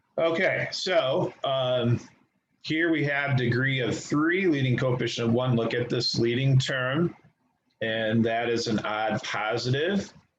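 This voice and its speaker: A man with an ordinary speaking voice talks at medium pitch. His pace is fairly slow, with ordinary pitch variation. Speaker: high school math teacher. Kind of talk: online class lecture.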